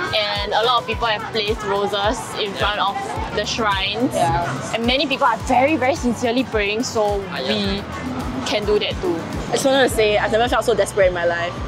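With clear music in the background, a woman speaks at a fairly quick pace with ordinary pitch variation. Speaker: travel video host. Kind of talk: casual vlog chat. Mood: playful, giggly. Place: street. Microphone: camera far.

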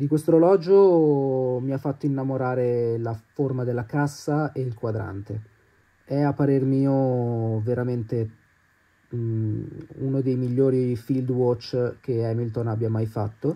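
Speaking at a very slow pace, a man uses a dark, mellow tone at medium pitch with ordinary pitch variation. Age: 20s. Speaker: watch enthusiast. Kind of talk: video presentation.

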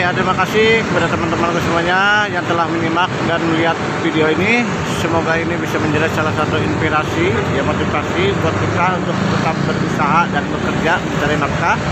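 A man talks at a very fast pace over loud background noise. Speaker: food vlogger. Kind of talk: casual vlog outro. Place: market. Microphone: phone near.

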